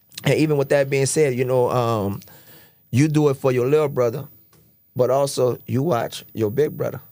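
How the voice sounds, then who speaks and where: A man with an American accent, a fairly high pitch, and a dark, mellow tone, at a moderate pace with fairly even intonation, on a very clean recording with a silent background. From New Orleans. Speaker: podcast host. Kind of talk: casual interview chat.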